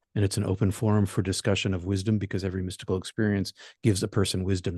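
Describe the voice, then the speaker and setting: Over a quiet background, a man talks very fast in a very deep, low, somewhat breathy voice with monotone, flat intonation and a dry, close sound with no echo. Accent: American. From Boston area, US. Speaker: minister and meditation teacher, near-death experiencer. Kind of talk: talk to support group.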